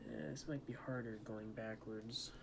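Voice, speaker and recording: A man at a fairly low pitch and moderate pace, with noticeable background noise and audible room echo. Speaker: ASMR creator. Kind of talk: ASMR tutorial with light talking. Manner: quiet talking, not whispering; a little loud at times.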